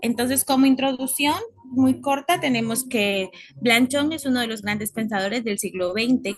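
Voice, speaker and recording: A woman's voice is pitched high. She uses lively intonation. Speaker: university student. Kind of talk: class presentation.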